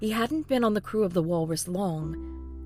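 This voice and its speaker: Music plays behind a woman as she talks. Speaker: fan fiction podcast narrator. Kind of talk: read story.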